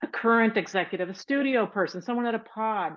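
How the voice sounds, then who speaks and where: This voice carries an American accent. It keeps a moderate pace. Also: woman. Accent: Texas accent, comes in and out. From Texas, Houston. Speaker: TV writer and creator. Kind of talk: interview.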